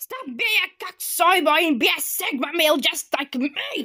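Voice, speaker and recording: A put-on character voice comes at a high pitch and a fairly slow pace. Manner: angry, shouting.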